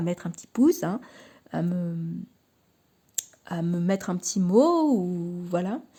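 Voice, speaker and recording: Her tone dark and mellow, a woman speaks very slowly at a medium pitch with ordinary pitch variation. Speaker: tarot card reader and YouTuber. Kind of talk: casual vlog talk to camera. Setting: at home in her living room. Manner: halting, many fillers and repetitions.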